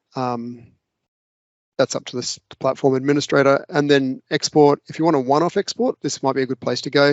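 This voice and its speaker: A man in an Australian accent speaks very fast, his medium-pitched voice keeping fairly even intonation. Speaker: local government data analyst. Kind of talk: screen-share tutorial.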